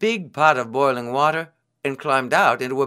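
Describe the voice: The background is quiet during plain reading aloud.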